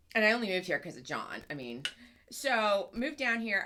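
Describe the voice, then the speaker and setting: A woman of medium pitch talks at a very fast pace in an animated tone. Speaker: podcast co-host. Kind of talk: casual chat.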